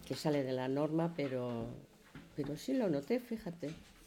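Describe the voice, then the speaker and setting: Speaking at a fairly slow pace, the woman has a very deep, low pitch and a dark, mellow tone. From Spain. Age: 70s. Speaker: podcast co-host. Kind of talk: casual chat.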